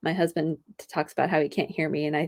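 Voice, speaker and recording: This soft-spoken woman talks at a very fast pace. The recording is very clean, with a silent background. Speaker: health podcast host. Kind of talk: solo podcast monologue. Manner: animated.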